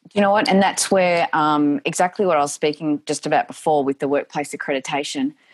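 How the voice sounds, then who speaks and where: Her voice sits very deep and low, with ordinary pitch variation, recorded with a dry, close sound and no echo. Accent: Australian. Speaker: domestic violence advocate and speaker. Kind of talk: interview.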